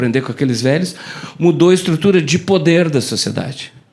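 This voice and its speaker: Speaking at a fairly quick pace, a man has a fairly high pitch and ordinary pitch variation. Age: 60s. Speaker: keynote speaker, communication professor. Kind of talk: keynote talk to live audience. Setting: stage with audience. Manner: fast; animated.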